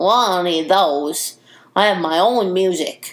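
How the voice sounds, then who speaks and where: A put-on character voice is used here, pitched in the middle range. The delivery is fairly slow. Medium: read story. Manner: loud, eager.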